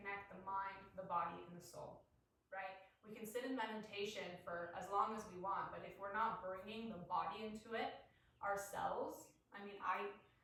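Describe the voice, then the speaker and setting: A woman with a medium pitch speaks at a moderate pace in an animated tone. Her loudness swings widely, and the room echo is audible. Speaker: spiritual coach. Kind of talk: guided somatic practice talk. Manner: loud and robotic. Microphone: no microphone, built-in device mic.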